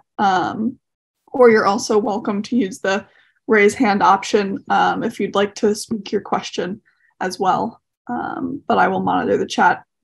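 Against a quiet background, a woman speaks with vocal fry and ordinary pitch variation. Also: fairly slow pace. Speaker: webinar host; online event host. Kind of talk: scripted narration. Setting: video call. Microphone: video call.

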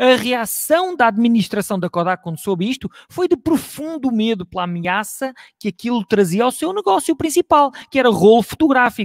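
With hardly any pauses, the voice swings very widely in pitch, recorded dry with no echo against a quiet background. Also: man, extremely high pitch for a man, moderate pace. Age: 40s. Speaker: IT strategy advisor; conference speaker. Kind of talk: lecture. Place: home room.

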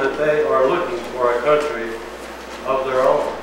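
Strong room echo and noticeable background noise are present throughout. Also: man. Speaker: pastor. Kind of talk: scripture reading aloud. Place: church. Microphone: camera far.

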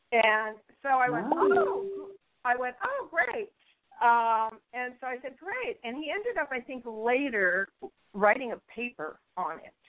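A woman speaks at a fairly slow pace in a high pitch, her pitch swinging very widely. Her loudness also swings a lot. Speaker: intuitive healer. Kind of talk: interview answer. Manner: bubbly.

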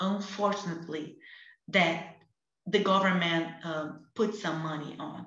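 A woman's bright, sharp voice with a Portuguese accent at a fairly slow pace, with audible room echo and a quiet background. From Brazil, Rio de Janeiro favela. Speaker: activist; panelist. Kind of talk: online panel discussion. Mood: earnest, passionate. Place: home room. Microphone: video call.

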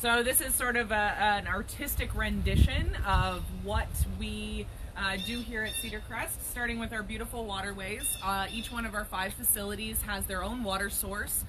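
Moderately paced female speech, noticeable background noise throughout. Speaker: trout farmer. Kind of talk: casual live video tour. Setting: outdoors on a farm.

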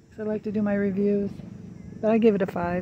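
Moderate pace, dry sound with no echo, and noticeable background noise. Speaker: vlogger filming her husband. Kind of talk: casual vlog chat. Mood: relaxed, amused. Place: waterside. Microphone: phone near.

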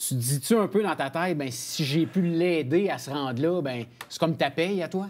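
A man speaks at a moderate pace in a normal speaking voice. His pitch is fairly high. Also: ordinary pitch variation. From Quebec. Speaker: sports TV co-host; show host. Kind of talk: interview. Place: studio.

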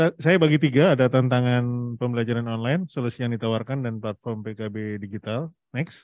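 A man talks at a fairly quick pace with hardly any pauses and ordinary pitch variation, the sound dry with no echo and the background quiet. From Indonesia. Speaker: presenter and platform CEO; presenter. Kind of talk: presentation to an audience. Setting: hybrid event with Zoom participants. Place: hall. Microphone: handheld.

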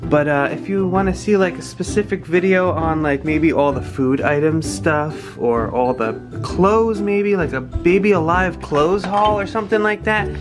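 With clear music playing in the background, the speech runs on with hardly any pauses. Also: moderate pace. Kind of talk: casual vlog chat. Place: home room. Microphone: phone near.

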